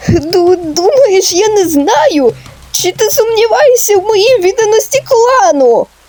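At a fairly slow pace, a woman performs a put-on character voice with an extremely high pitch. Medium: machinima.

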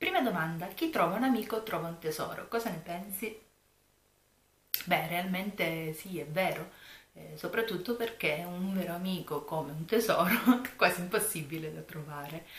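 Soft-spoken, a woman talks at a fairly quick pace, her loudness swinging widely amid audible room echo. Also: fairly low pitch for a woman, ordinary pitch variation. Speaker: YouTuber, planner and craft vlogger; YouTuber, craft vlogger. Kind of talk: casual vlog chat. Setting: home room at night. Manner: soft-spoken, low voice. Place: home room. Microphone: camera far.

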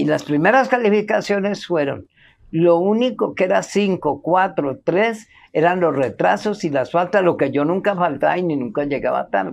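Her voice has vocal fry and a fairly low pitch. This woman uses lively intonation. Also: moderate pace. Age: 70s. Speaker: interviewee sharing life story; interviewee. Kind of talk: testimony. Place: garden.

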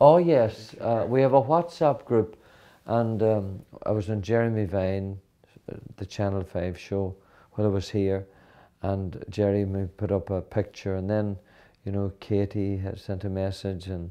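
With a Donegal Irish accent, a man with a fairly low pitch speaks at a fairly slow pace with ordinary pitch variation over a quiet background. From Ireland (County Donegal). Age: 50s. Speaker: country singer. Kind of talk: interview answer. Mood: warm, friendly, chatty. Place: home room. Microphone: lapel.

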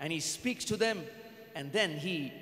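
A man speaks at a moderate pace. The room gives off an audible echo. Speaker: pastor. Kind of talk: sermon. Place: church. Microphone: handheld.

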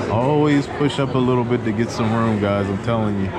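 The speech moves at a moderate pace. Loud background noise fills the recording. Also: man. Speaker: coaster vlogger. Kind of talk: casual vlog chat. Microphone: phone near.

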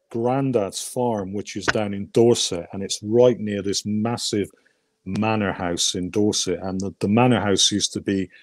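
Recorded dry with no echo, a man speaks at a moderate pace with ordinary pitch variation. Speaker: interview guest. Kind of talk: interview answer, personal story. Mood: warm, amused storytelling. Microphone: video call.

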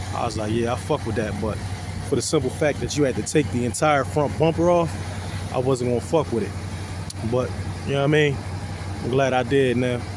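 The speech moves at a fairly quick pace, with noticeable background noise behind it. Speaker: car owner vlogger. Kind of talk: casual vlog chat. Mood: relaxed, pleased. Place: street. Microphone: phone near.

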